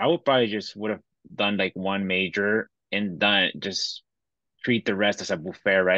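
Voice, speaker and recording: A man with a Bolivian accent, fairly low-pitched, bright and sharp in tone, fairly even in intonation and fairly quick, in a dry, close recording with no echo and a quiet background. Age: 30s. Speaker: fintech entrepreneur. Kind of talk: interview.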